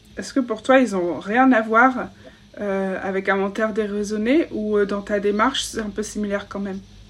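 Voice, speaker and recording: In a plain, everyday voice, a woman speaks at a moderate pace with a medium pitch and fairly even intonation. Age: 20s. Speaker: podcast host. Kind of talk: interview; scripted narration. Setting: video call.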